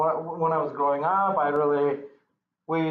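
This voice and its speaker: A man's voice with audible room echo. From Kyrgyzstan, Central Asia. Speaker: church member giving testimony. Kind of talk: testimony. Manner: halting, many repetitions.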